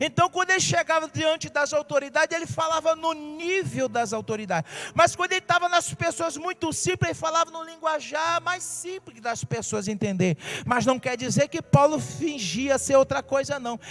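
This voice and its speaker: Extremely high for a man, his voice runs with hardly any pauses and lively intonation. The sound is dry and close with no echo, and background noise is noticeable. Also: moderate pace. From Brazil, Rio de Janeiro. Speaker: pastor. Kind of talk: sermon.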